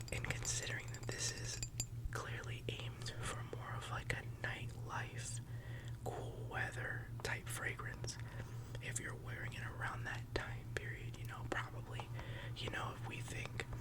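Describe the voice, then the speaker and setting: Noticeable background noise sits behind the voice. The man speaking keeps to a fairly slow pace. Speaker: ASMR content creator. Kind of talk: ASMR fragrance review. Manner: conversational, relaxed, chatty.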